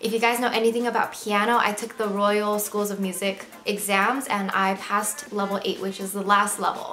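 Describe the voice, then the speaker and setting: A woman with an American accent and a medium pitch talks at a moderate pace in a flat monotone. There is noticeable background noise and audible room echo. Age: 20s. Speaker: lifestyle vlogger. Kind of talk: casual vlog monologue.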